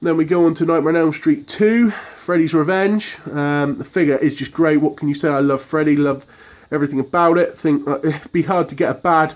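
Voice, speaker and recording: A man with an English accent speaks at a fairly quick pace, his pitch fairly high and his intonation fairly even. The recording is very clean, with a silent background. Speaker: horror collector vlogger. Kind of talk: casual room tour monologue. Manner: fast; hesitant.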